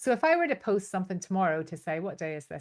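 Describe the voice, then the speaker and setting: A woman talks at a fairly quick pace with a fairly low pitch. She has a strong Northern Irish accent. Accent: Northern Irish, still strong. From Northern Ireland, Belfast. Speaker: business coach and trainer. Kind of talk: online masterclass. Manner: animated.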